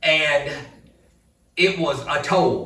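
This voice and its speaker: A man with an Alabama accent and audible room echo. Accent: Southern US (Alabama). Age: 60s. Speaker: vlogger. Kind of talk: casual vlog talk. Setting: outdoor building.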